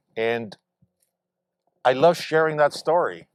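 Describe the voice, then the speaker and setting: This man's voice shows ordinary pitch variation on a very clean recording with a silent background. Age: 60s. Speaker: mayor. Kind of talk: ceremonial speech. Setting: outdoors.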